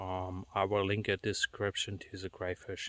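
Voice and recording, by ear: A man's low-pitched voice, fairly bright and clear, smooth in tone, with little pitch movement and a fairly slow pace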